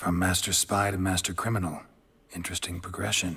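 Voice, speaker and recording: Putting on a character voice, a man talks at a fairly quick pace with a very deep, low pitch. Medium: video game. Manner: terse, dry, low-key.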